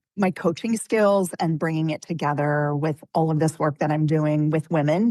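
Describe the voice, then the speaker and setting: A woman's ordinary speaking voice at a moderate pace with ordinary pitch variation, dry, close sound with no echo and a quiet background. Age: 50s. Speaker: midlife transition coach. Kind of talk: interview.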